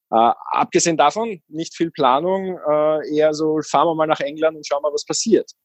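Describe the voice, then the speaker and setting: Heard in a dry, close sound with no echo, a man with an ordinary speaking voice and a fairly high pitch talks at a moderate pace. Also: ordinary pitch variation. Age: 30s. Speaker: van-dwelling traveller and seasonal worker. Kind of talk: casual interview.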